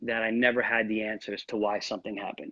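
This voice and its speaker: At a fairly quick pace, a man talks with an American accent. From New York. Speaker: real estate agent. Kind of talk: interview. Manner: fast.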